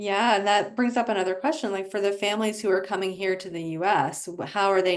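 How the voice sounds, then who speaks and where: A woman with a normal speaking voice, medium in pitch, at a fairly quick pace over a quiet background. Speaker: webinar host. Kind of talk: webinar moderation.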